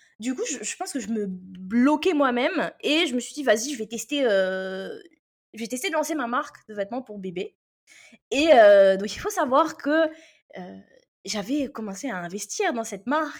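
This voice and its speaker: The speech moves at a fairly slow pace, with very wide pitch swings, big swings in loudness, and long, frequent pauses. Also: woman, high pitch for a woman. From Réunion. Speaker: copywriting mentor. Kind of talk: interview. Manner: lively; halting.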